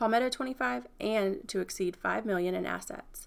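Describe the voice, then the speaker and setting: A woman with an American accent talks at a very fast pace, medium in pitch with ordinary pitch variation and vocal fry. The recording is very clean, with a silent background. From Franklin, Virginia, US. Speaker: podcast host, marketing consultant. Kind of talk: scripted narration.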